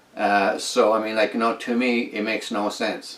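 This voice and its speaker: A man speaks fairly slowly as noticeable background noise carries on behind him. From northern Quebec. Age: 60s. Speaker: inventor. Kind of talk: casual monologue. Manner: halting.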